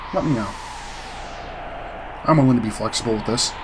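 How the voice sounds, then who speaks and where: There is audible room echo and noticeable background noise. Through it, a man talks at a medium pitch with ordinary pitch variation. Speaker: gaming video creator. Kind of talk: let's play commentary. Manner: fast; casual.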